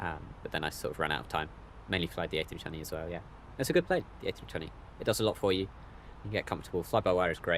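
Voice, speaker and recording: A man with a British accent speaks at a very fast pace, his very deep, low voice broken by long, frequent pauses. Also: ordinary pitch variation. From Britain. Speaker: flight sim streamer. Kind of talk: live stream commentary. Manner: casual, hesitant with many fillers.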